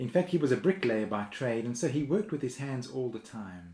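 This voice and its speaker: At a moderate pace, a man talks in an unremarkable speaking voice of medium pitch. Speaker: minister. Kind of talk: sermon.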